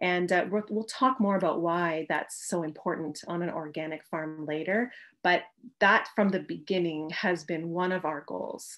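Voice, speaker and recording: A woman with a Canadian accent, fairly low pitch and fairly slow pace, in a quiet background. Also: ordinary pitch variation. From Canada. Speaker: organic farmer and teacher. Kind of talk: presentation lecture. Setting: video call from home. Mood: warm, friendly. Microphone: video call.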